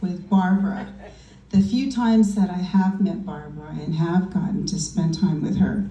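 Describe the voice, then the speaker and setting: A woman's medium-pitched voice, fairly slow and fairly even in intonation, with noticeable background noise and audible room echo. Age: 60s. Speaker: party guest giving a tribute. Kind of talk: birthday tribute speech.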